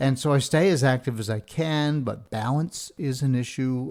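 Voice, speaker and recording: The voice has a dark, mellow tone and ordinary pitch variation at a fairly slow pace. It is a very clean recording with a silent background. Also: man. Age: 60s. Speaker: podcast host. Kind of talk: casual monologue.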